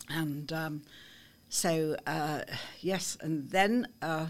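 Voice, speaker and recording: A woman with a Liverpool accent speaks at a very deep, low pitch with ordinary pitch variation, on a very clean recording with a silent background. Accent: Liverpool (Scouse). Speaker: artist and clothes designer. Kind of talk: interview. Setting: studio.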